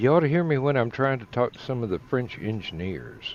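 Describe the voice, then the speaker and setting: A man's medium-pitched voice with a strong Southern US accent, over noticeable background noise. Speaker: online talk show co-host. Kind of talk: casual chat.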